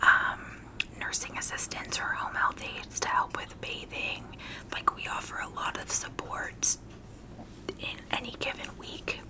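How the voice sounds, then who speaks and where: Someone is whispering with long, frequent pauses over noticeable background noise. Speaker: hospice worker. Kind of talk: ASMR whisper ramble. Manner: whispered; casual, relaxed.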